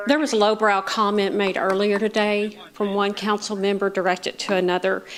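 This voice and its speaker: A woman with an American accent at a medium pitch and moderate pace, against noticeable background noise. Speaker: public commenter at city council. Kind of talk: public comment. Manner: loud.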